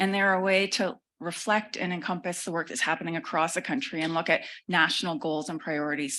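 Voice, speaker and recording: A woman's bright, sharp voice at a fairly low pitch, very fast, with ordinary pitch variation and a quiet background. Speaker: government official. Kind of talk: conference presentation.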